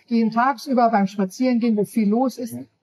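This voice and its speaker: Somewhat breathy voice with ordinary pitch variation. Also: woman. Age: 50s. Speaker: author. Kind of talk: interview.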